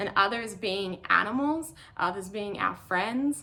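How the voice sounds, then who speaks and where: A woman talks in an Australian accent over noticeable background noise. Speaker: ultramarathon runner. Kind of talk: prepared talk.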